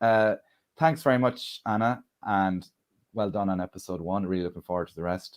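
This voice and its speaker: A man with an Irish accent and ordinary pitch variation, in a very clean recording with a silent background. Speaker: comedian and event MC. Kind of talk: live stream launch event hosting. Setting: live stream.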